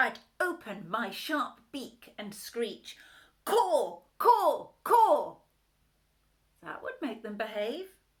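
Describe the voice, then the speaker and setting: In a put-on character voice that is shrill, raised and projected, the speaker swings very widely in pitch at a very slow pace, with long, frequent pauses. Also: woman, high pitch for a woman. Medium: read story. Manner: brash.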